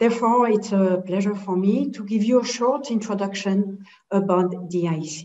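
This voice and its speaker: In a French accent, a woman of medium pitch speaks at a moderate pace with ordinary pitch variation, and audible room echo surrounds her voice. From Geneva, French-speaking Switzerland. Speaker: head of sales at a standards organization. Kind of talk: webinar presentation.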